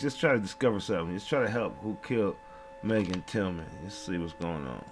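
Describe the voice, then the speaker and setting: A man speaks fairly quickly while noticeable background noise carries on around him. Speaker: true crime commentator. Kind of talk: casual commentary. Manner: halting.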